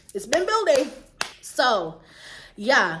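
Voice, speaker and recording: Audible room echo surrounds a woman speaking in an animated tone with an American accent. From Jamaica. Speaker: YouTuber. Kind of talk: storytime vlog, casual chat. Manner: stumbling over words at times.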